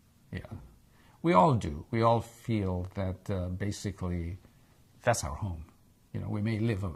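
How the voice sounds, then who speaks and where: A man with an American accent speaks at a moderate pace, his fairly low voice somewhat breathy and showing ordinary pitch variation. The recording is very clean, with a silent background. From Egypt, then Israel. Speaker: interviewee, immigrant. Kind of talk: oral history interview. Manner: hesitant, with repetitions.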